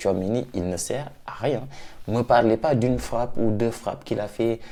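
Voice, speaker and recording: A man speaks in a medium pitch with ordinary variation and a dark, mellow tone. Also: moderate pace. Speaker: football YouTuber. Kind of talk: match debrief vlog. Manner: soft-spoken; animated.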